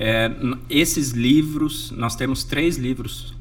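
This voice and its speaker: A medium-pitched male voice, very slow in pace, with audible room echo. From Brazil, Jundiaí, São Paulo state. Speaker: sailor, NGO founder and speaker. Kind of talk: interview.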